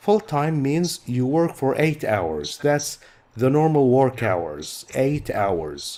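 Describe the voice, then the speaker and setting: A man's dark, mellow voice with an Arabic accent, at a very slow pace, with very wide pitch swings. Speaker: English teacher. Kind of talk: lecture. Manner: slow, clear explanatory.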